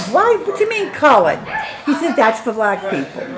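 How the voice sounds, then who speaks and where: A woman speaks with very wide pitch swings. Noticeable background noise and audible room echo surround her. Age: 70s. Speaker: grandmother being interviewed. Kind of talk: family interview.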